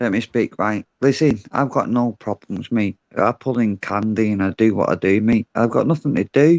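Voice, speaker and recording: Talking with a Glaswegian accent at a moderate pace, a man at medium pitch shows ordinary pitch variation and hardly any pauses, the sound dry and close with no echo. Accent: Glaswegian Scottish. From Glasgow, Scotland. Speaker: panel caller. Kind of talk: heated debate. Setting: video call on livestream. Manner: sounds aggressive.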